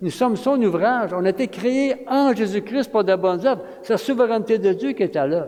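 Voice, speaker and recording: Over noticeable background noise, a man with a high-pitched voice talks fairly quickly with ordinary pitch variation. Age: 70s. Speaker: retired pastor, guest preacher. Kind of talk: sermon. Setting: church. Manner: animated.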